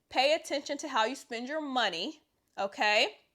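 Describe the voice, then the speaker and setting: A woman's raised, projected voice, high in pitch, with a bright, sharp tone and lively intonation. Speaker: personal trainer and fitness youtuber. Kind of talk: casual talk-to-camera advice video.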